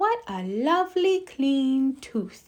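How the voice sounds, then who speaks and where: A woman's soft-spoken, high-pitched put-on character voice with very wide pitch swings. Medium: read story.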